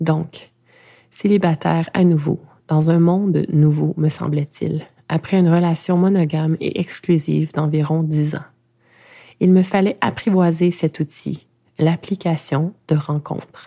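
A woman's dark, mellow, fairly low voice, very even in loudness and fairly even in intonation, at a fairly slow pace with long, frequent pauses, on a very clean recording with a silent background. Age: 40s. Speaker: podcast host and narrator. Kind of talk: personal testimony; scripted narration.

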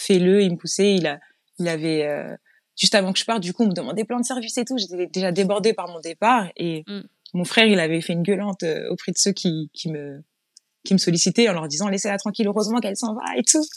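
Speaking at a very fast pace, a woman keeps a medium pitch and ordinary pitch variation in a dry, close sound with no echo. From Île-de-France, Yvelines. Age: 30s. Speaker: interior decorator and entrepreneur. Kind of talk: interview.

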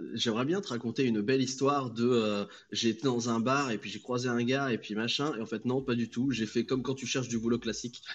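Using an unremarkable speaking voice, a man talks at a fairly quick pace, with a medium pitch and fairly even intonation. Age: 20s. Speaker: freelance customer service agent. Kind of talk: casual chat.

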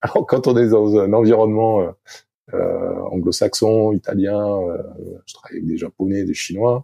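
Long pauses come often in this man's speech. His delivery is fairly slow. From southwest France, Arcachon. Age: 50s. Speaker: sailing coach and former Olympic sailor. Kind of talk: interview. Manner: halting, many hesitations.

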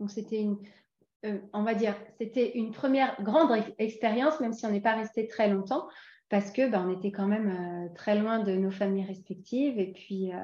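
Against a quiet background, a somewhat breathy woman with a slight English accent talks at a moderate pace and fairly high pitch, with ordinary pitch variation. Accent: slight English tinge to her French. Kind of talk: casual interview.

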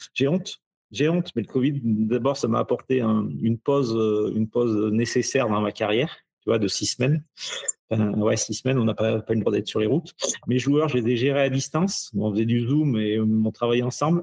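A man with a plain, everyday voice speaks at a medium pitch and moderate pace, with ordinary pitch variation. His loudness is very even, and the sound is dry and close with no echo. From France, Ardèche. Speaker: athletic fitness coach. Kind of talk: casual interview chat.

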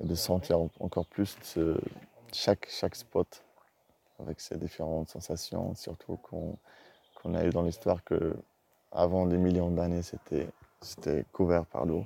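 A man speaks at a very slow pace with long, frequent pauses and a very deep, low pitch. His tone is dark and mellow, his intonation fairly even, and the sound is dry and close with no echo. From Morocco. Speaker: Gnawa percussionist. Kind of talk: interview testimony.

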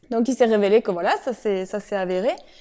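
The woman has a dark, mellow tone and speaks at a moderate pace. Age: 30s. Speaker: real estate investor and entrepreneur. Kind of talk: interview. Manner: halting.

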